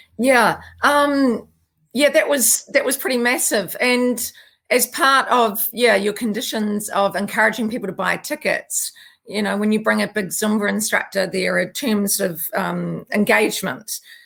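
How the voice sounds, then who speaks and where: Speaking with a New Zealand accent, a woman uses a fairly high pitch, ordinary pitch variation, vocal fry and a fairly slow pace. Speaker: naturopath and yoga and Zumba teacher. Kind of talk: interview conversation.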